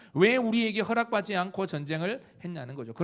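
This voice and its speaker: On a very clean recording with a silent background, a man talks at a fairly quick pace, his high pitch making very wide swings. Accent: southeastern Korean. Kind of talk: sermon-style preaching.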